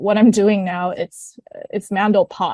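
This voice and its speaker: Her dark, mellow tone comes with ordinary pitch variation, recorded as a dry, close sound with no echo against a quiet background. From Canada. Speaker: singer. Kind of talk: interview. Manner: halting.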